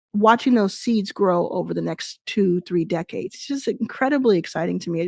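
With an American accent, a woman speaks at a moderate pace in an unremarkable speaking voice, her intonation lively, the sound dry and close with no echo. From Texas (Dallas). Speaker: venture capital investor and founder. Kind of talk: interview at a virtual event. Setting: virtual event, video call.

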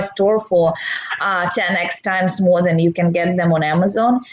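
A woman talks at a medium pitch while background noise is clearly heard. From Belarus. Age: 30s. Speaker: e-commerce seller and entrepreneur. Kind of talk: interview. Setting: livestream.

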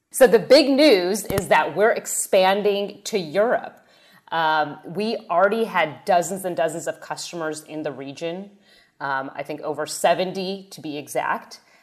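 A woman with a normal speaking voice talks fairly slowly at a fairly low pitch, her loudness swinging widely against a quiet background. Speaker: podcast host. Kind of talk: casual interview.

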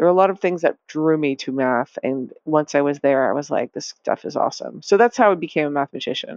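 A woman with a very deep, low pitch and an American accent talks very fast with lively intonation and hardly any pauses. The sound is dry and close, without echo. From US Northeast, Massachusetts. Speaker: data scientist and author. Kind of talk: interview.

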